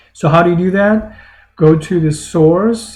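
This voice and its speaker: A man talks fairly slowly in a somewhat breathy voice, with ordinary pitch variation. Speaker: math lecturer. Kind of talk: tutorial. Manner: halting.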